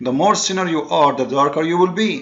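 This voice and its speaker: A man's fairly high voice with ordinary pitch variation and a non-native accent. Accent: noticeable non-native. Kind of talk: polemical commentary monologue. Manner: fast; halting, with repeated fillers.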